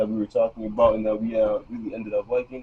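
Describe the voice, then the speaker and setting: Noticeable background noise sits behind a man who speaks at a very fast pace. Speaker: vlogger. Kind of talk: casual vlog talk to camera. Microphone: built-in camera mic.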